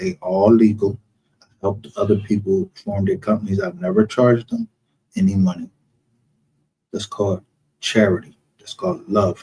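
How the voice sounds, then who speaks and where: A man with a fairly low, dark, mellow, somewhat breathy voice speaks at a moderate pace with ordinary pitch variation and long, frequent pauses, in a dry, close sound with no echo. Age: 50s. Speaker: live streamer, true crime commentator. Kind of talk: casual livestream rant. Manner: animated.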